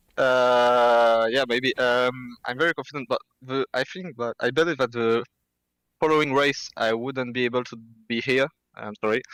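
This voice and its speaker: Recorded very cleanly against a silent background, a man of medium pitch talks at a moderate pace in a French accent, with fairly even intonation and a dry, close sound lacking any echo. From France. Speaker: sim racing driver. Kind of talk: post-race interview. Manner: halting, many fillers.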